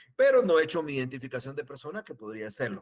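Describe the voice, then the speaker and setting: The man's intonation is lively and his pace very fast. The sound is dry and close, with no echo. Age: 60s. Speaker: law professor. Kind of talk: lecture. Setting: online class transmission.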